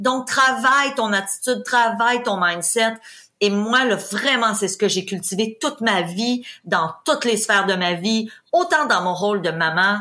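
A woman's fairly high, bright and sharp voice, with lively intonation at a fairly slow pace. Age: 50s. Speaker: real estate investor and trainer. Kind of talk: interview. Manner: energetic.

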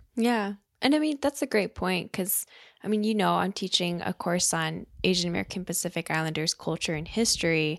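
Here is a woman with a plain, everyday voice, medium in pitch, with lively intonation at a fairly quick pace. The recording is very clean with a silent background. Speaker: podcast co-host. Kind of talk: casual conversational podcast chat.

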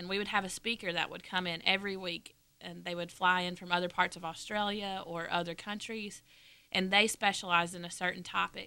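Her voice is a woman's, fairly low in pitch with a bright, sharp tone and monotone, flat intonation. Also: very clean recording, silent background. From northwest Georgia, US. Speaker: former mission school student. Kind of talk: casual interview. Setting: studio.

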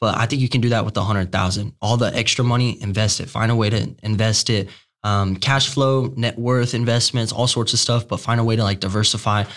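A man's medium-pitched, energetic delivery at a fairly quick pace, with very even loudness, hardly any pauses, and a very clean recording over a silent background. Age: 20s. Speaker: young entrepreneur. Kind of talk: casual interview.

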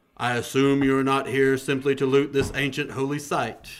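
In a put-on character voice, a man booms at a medium pitch and a moderate pace. His intonation stays monotone and flat. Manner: contemplative and commanding.

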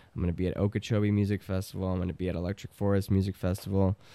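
A man's fairly low, dark, mellow voice with an American accent. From Chicago. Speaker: trumpet player and producer. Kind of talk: casual chat.

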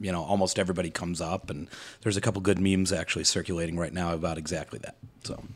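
With a Midwestern accent, a man talks at a very fast pace. His pitch is very deep and low, and his intonation fairly even. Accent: general American, Midwestern. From Metro Detroit, Michigan. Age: 30s. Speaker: guest, real estate worker and boater. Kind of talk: casual chat. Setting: around a table, video recorded.

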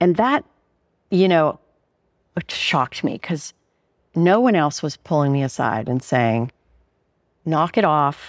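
A woman with an American accent and a very deep, low pitch, on a very clean recording with a silent background and a dry, close sound with no echo. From Pittsburgh, Pennsylvania. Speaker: artist. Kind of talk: casual interview. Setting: her studio. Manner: clear.

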